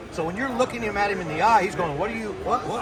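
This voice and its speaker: There is noticeable background noise. Audible room echo is also present. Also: man. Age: 60s. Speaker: iguana hunter. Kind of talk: casual chat.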